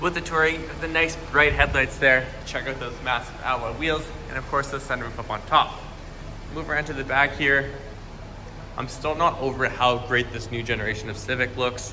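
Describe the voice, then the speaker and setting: A man talks at a moderate pace with fairly even intonation. Noticeable background noise can be heard. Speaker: car salesperson. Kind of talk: product walkaround commentary. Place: shop. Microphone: phone near.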